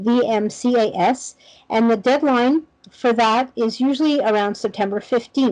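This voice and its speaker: Heard over a quiet background, the voice shows ordinary pitch variation. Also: woman. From Canada. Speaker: veterinary school admissions officer. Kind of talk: online information session. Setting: video call. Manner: casual. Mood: friendly, reassuring. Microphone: video call.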